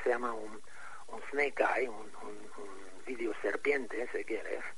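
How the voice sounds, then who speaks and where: A man speaks at a fairly slow pace. Noticeable background noise and audible room echo surround his voice. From Egypt. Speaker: architect and pyramid researcher. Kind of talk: interview. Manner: halting.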